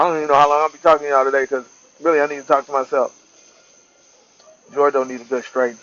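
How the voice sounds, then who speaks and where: The speech runs at a very fast pace in a flat monotone, broken by long, frequent pauses. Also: man. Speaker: vlogger. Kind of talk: casual monologue. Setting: outdoors on porch.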